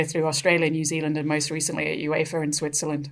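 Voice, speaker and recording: Here is a woman with a very deep, low pitch. She speaks in a southern English accent. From England, Brighton. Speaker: author and sports professional. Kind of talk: radio interview.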